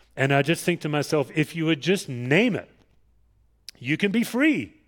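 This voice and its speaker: On a very clean recording with a silent background, a man speaks at a moderate pace with an Australian accent. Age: 50s. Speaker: pastor. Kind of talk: sermon. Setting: church.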